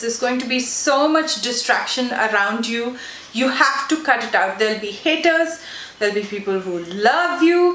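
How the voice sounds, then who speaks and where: A woman talks with lively intonation. Noticeable background noise and audible room echo fill the recording. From South India. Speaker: beauty YouTuber. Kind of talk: casual Q&A vlog. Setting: sitting on her bed at home.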